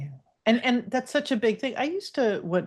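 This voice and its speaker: Against a quiet background, a woman with an American accent sounds somewhat breathy. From New York. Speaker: divorce coach. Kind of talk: casual chat.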